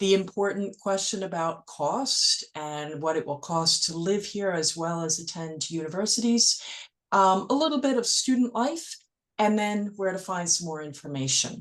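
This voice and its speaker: Speaking in an ordinary speaking voice with an American accent, a woman talks at a moderate pace and medium pitch with lively intonation. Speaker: educational consultant. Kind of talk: webinar presentation.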